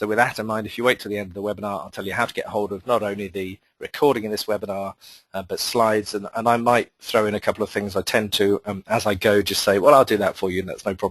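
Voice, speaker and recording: A man's fairly low voice with a British accent, very fast pace, fairly even intonation, big swings in loudness, and a dry, close sound with no echo. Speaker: marketing consultant and webinar presenter. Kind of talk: webinar presentation. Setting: online webinar.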